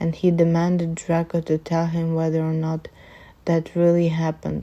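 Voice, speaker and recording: A woman with a non-native accent speaks at a fairly slow pace in a dark, mellow tone. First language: not English. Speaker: amateur fanfiction reader. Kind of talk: reading aloud. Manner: halting, self-correcting.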